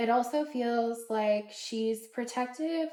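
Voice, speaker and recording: Her dark, mellow tone sits at a fairly high pitch for a woman. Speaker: tarot reader. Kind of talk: collective tarot reading. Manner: casual with filler words.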